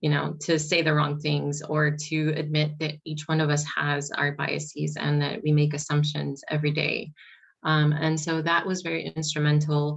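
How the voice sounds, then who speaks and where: A somewhat breathy voice with an American accent, monotone, flat intonation and a moderate pace. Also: woman, very deep, low pitch for a woman. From US, Mexican American family. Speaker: early childhood mental health consultant. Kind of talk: conference panel discussion. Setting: conference panel. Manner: hesitant, many fillers.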